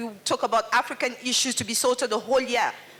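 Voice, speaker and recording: Her pitch is high, and this woman talks at a fairly quick pace. Noticeable background noise runs underneath. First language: French. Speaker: audience member speaking at a festival panel. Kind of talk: public Q&A contribution.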